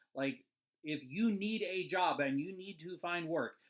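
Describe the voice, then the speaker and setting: Lively intonation at a very slow pace, with a Midwestern accent. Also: man. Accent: Midwestern twang. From US Midwest. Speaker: animator and cartoon channel host. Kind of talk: casual vlog advice talk. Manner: halting, many fillers.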